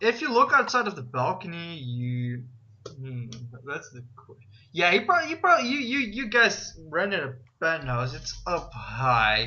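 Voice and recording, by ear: A man's fairly high, bright, sharp voice at a fairly slow pace, with very wide pitch swings and audible room echo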